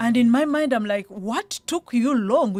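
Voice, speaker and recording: Over music in the background, a woman speaks at a fairly slow pace in a fairly high pitch with ordinary pitch variation. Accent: Ugandan. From Uganda. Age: 40s. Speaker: property investor and psychologist. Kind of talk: radio interview.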